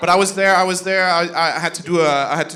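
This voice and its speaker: The man talks at a fairly quick pace with ordinary pitch variation. Noticeable background noise and audible room echo come through. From Denmark, Jutland. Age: 30s. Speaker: comedian. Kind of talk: stand-up. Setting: comedy club stage with audience.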